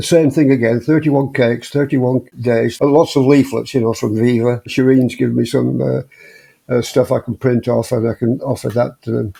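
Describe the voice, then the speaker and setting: In an English accent, a man with a dark, mellow tone and medium pitch talks at a fairly quick pace with fairly even intonation. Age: 80s+. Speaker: vegan ultramarathon runner. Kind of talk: interview conversation. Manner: halting, many repetitions and fillers.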